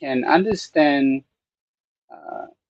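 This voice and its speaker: A man speaks with a Thai accent. His pace is very slow. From Thailand. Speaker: Buddhist monk and meditation teacher. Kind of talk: live-streamed talk on Buddhism. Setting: temple studio, live stream. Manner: halting, many fillers.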